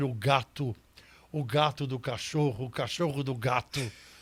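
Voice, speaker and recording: A man speaks at a fairly slow pace with a fairly high pitch and a somewhat breathy voice. The recording is very clean with a silent background. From Brazil, São Paulo city. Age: 80s+. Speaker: criminal lawyer and jury advocate. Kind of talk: interview conversation.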